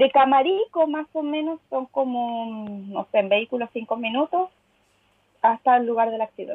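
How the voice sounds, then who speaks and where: A woman with a Chilean accent talks at a moderate pace, her pitch high and its variation ordinary. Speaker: podcast co-host. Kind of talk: casual chat.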